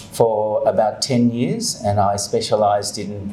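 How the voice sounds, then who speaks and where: Against noticeable background noise, a man with an Australian accent speaks with lively intonation. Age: 60s. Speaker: university rector. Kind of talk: acceptance speech. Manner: hesitant, with fillers.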